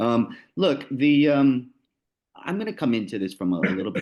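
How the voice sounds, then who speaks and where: A man speaks with a New Jersey accent. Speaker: lawyer and arbitrator. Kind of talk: panel presentation. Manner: casual, many fillers and repetitions.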